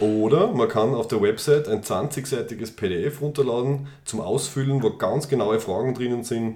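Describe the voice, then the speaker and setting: Noticeable background noise sits under a man speaking at a moderate pace in a medium pitch. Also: ordinary pitch variation, hardly any pauses. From Austria, Styria. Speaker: podcast co-host. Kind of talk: casual chat. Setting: studio, face to face.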